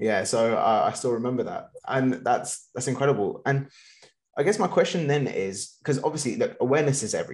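Speaking with lively intonation, a man uses a plain, everyday voice pitched fairly high. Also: fairly quick pace. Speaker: podcast host. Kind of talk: interview, conversational.

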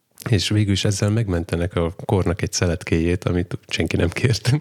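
In a dry, close sound with no echo, a man with a very deep, low voice speaks at a very fast pace. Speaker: podcast host. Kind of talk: casual chat.

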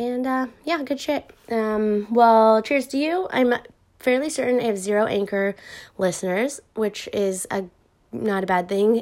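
A woman speaks at a fairly slow pace with a fairly high pitch and ordinary pitch variation, on a very clean recording with a silent background. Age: 30s. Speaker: podcaster replying to a listener. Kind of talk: casual voice message reply. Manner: casual, hesitant with many fillers.

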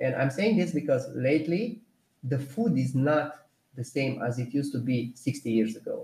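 With a Romanian accent, a man speaks at a moderate pace and a fairly high pitch, his dark, mellow tone somewhat breathy and his pitch variation ordinary. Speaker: personal trainer and nutrition technician. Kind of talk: casual interview. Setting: live stream.

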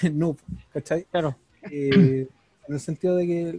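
A man speaks with a Chilean accent. The sound is dry and close, with no echo. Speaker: podcast co-host. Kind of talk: casual chat.

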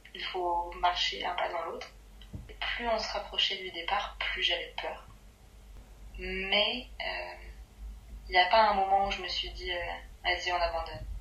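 A woman talks at a fairly slow pace with long, frequent pauses and big shifts in loudness, and audible echo fills the room. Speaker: friend of the host. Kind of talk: casual chat.

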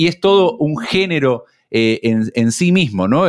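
On a very clean recording with a silent background, a man with an Argentine accent speaks at a fairly slow pace with very wide pitch swings. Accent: Rioplatense Argentine Spanish. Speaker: radio host. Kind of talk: casual chat.

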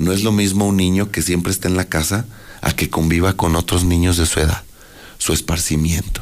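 Very deep and low, a man's voice moves at a fairly quick pace. His intonation is a flat monotone and his loudness very even. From Aguascalientes, Mexico. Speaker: mayoral candidate. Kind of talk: radio interview.

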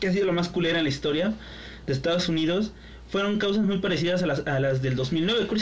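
In a Mexican accent, a man talks at a high pitch with ordinary pitch variation. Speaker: podcast co-host. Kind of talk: casual chat.

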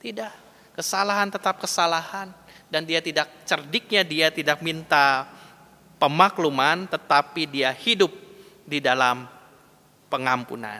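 With a West Javanese accent, a man with a fairly high voice talks at a fairly slow pace, taking long, frequent pauses. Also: ordinary pitch variation. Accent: Sundanese. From West Java (Bandung). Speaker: pastor. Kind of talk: sermon. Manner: conversational.

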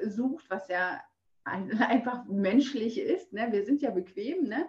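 Her voice has a somewhat breathy quality. The woman's intonation is lively. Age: 40s. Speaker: fitness trainer and Instagram creator. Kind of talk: casual interview. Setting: video call.

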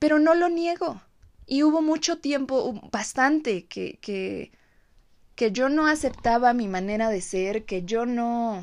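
Against a quiet background, a woman speaks at a very slow pace in a high pitch with lively intonation. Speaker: podcast host. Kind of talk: reflective monologue.

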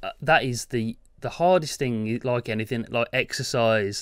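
A man with an unremarkable speaking voice talks at a medium pitch and moderate pace. The recording is very clean, with a silent background. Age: 30s. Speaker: tech podcast co-host, YouTuber. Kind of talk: casual chat.

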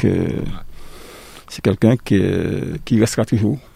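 The sound is dry and close with no echo as a man with a fairly low pitch talks in a dark, mellow tone. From Martinique. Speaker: political party member. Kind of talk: radio panel discussion.

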